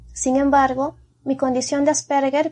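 A woman is speaking. Her pace is moderate. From Peru. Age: 30s. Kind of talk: personal testimony.

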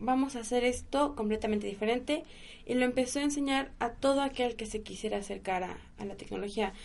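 With a normal speaking voice, a woman talks at a fairly quick pace in a fairly high pitch with ordinary pitch variation. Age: 20s. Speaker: kundalini yoga teacher. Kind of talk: casual interview chat.

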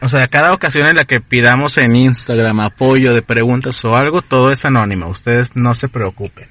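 Barely pausing, a man with a medium pitch and a bright, sharp tone talks at a fairly quick pace, the sound dry and close with no echo. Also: ordinary pitch variation. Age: 20s. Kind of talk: casual chat.

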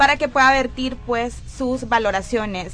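A woman projects a raised, high-pitched voice with ordinary pitch variation. Noticeable background noise is present. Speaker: youth radio host. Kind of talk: live radio show.

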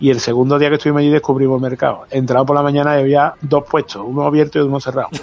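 A man with an Andalusian accent talks at a very fast pace with hardly any pauses. His pitch is fairly high, his intonation monotone and flat, and his loudness very even. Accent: Andalusian Spanish (Seville). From Seville, Andalusia (Spain). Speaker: photographer. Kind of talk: casual chat. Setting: outdoors.

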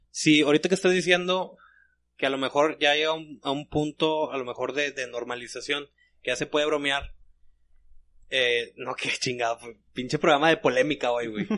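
A man speaks at a fairly high pitch in a bright, sharp tone, at a moderate pace with ordinary pitch variation. He takes long, frequent pauses. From Monterrey, Mexico. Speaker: podcast co-host. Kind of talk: casual chat. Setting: studio.

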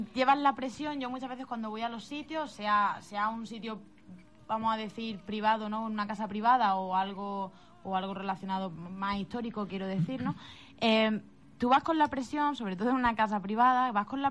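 A woman with a plain, everyday voice, fairly high in pitch, at a fairly quick pace, with ordinary pitch variation and big swings in loudness. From Spain, Málaga province. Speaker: psychic medium. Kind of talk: interview. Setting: radio studio.

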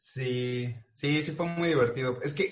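With a normal speaking voice, a man talks at a fairly high pitch and fairly even intonation. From Mexico. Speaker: animator and voice-over artist. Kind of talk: casual chat.

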